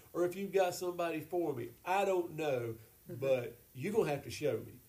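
Audible room echo around a man speaking with ordinary pitch variation. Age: 50s. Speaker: pastor. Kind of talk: casual chat.

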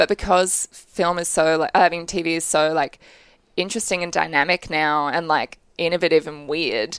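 With an Australian accent, a woman speaks at a moderate pace and a fairly low pitch with fairly even intonation, the sound dry and close with no echo in a very clean recording with a silent background. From Australia, Brisbane. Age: 20s. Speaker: film director. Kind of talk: interview. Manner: casual, filler-heavy.

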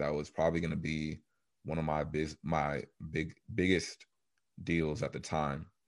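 In a very deep, low pitch, a man speaks at a moderate pace with monotone, flat intonation. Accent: American. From Texas, Dallas area. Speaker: mechanical engineer and real estate investor. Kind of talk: interview.

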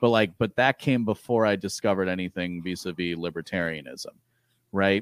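A man's very deep, low pitch at a fairly quick pace with ordinary pitch variation, in a very clean recording with a silent background and a dry, close sound with no echo. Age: 30s. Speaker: podcast guest discussing philosophy and libertarianism. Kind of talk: casual chat.

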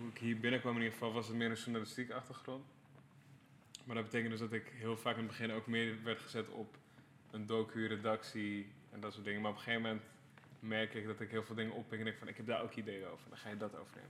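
Delivery comes at a very fast pace with monotone, flat intonation. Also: man. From Amsterdam-Noord, Netherlands. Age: 30s. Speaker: creative director for music videos and album covers. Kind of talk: casual podcast interview.

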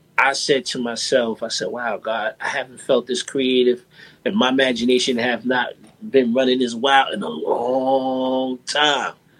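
Fairly slow and fairly even in intonation, a man with a New York accent speaks at a medium pitch. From New York, Brooklyn (Brownsville). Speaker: music producer. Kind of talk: interview.

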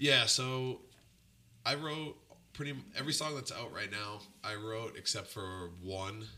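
Speaking at a fairly slow pace with long, frequent pauses, a man with an American accent uses a medium pitch, a bright, sharp tone and ordinary pitch variation. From Boston area, Massachusetts. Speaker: punk band front-man and musician. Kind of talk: casual chat interview.

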